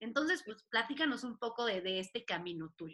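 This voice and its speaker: Her voice raised and projected, a woman speaks at a moderate pace with very wide pitch swings and a bright, sharp tone. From Mexico, Puebla. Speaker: podcast host. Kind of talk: casual chat.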